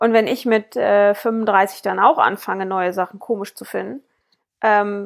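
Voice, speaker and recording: A woman talks at a fairly slow pace in an unremarkable speaking voice, with medium pitch and fairly even intonation. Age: 30s. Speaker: podcast co-host. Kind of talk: casual chat.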